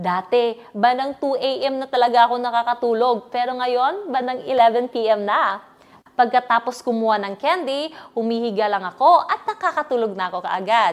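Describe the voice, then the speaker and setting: This woman talks at a moderate pace in a high voice. Her intonation is lively. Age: 20s. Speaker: online seller giving product testimonial. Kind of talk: scripted sales testimonial.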